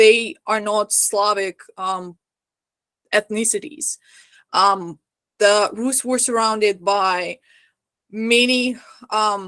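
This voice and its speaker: A woman with a non-native accent talks at a very slow pace, her pitch fairly high and her tone bright and sharp. Long pauses come often between her words. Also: ordinary pitch variation, dry, close sound with no echo. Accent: foreign. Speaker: historical costume lecturer. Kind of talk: lecture.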